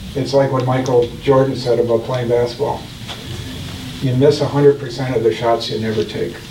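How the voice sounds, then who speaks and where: With noticeable background noise and audible room echo, a man talks at a fairly quick pace in a monotone, flat intonation. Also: medium pitch for a man. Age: 70s. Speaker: mayor and author. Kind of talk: book talk Q&A.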